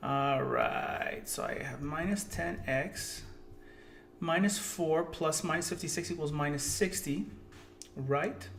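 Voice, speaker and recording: A man speaks at a very slow pace. Music plays in the background, and the room echo is audible. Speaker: math teacher. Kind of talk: tutorial. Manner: animated.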